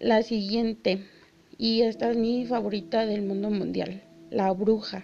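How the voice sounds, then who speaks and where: Over noticeable background noise, a woman speaks fairly slowly at a fairly high pitch with fairly even intonation. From Mexico City. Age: 20s. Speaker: podcast host. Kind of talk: casual solo podcast talk.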